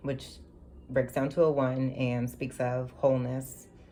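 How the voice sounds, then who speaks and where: A woman with a very deep, low pitch speaks amid audible room echo. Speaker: tarot reader. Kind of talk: tarot reading. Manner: hesitant, filler-heavy.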